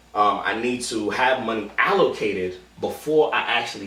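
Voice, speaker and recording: Noticeable background noise and audible room echo surround a man speaking with an American accent. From Queens, New York City. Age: 20s. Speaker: poetry slam organizer. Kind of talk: documentary interview monologue. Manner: casual with frequent fillers and restarts.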